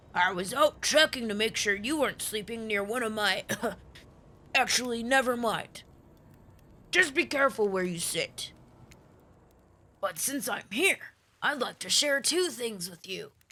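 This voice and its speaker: A man does a put-on character voice at an extremely high pitch, raised and projected, with lively intonation and long, frequent pauses. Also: moderate pace. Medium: game stream. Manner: gruff, boastful.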